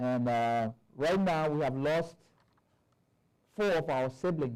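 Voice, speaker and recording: This man's voice sits fairly high in pitch and moves at a very slow pace. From southeastern Liberia. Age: 60s. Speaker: bishop. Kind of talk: conference talk.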